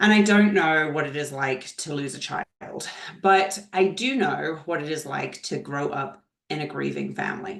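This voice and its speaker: A woman talks with a very deep, low pitch at a moderate pace. Her pitch varies in an ordinary way. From Scotland. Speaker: leadership trainer. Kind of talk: webinar presentation. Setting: video call webinar.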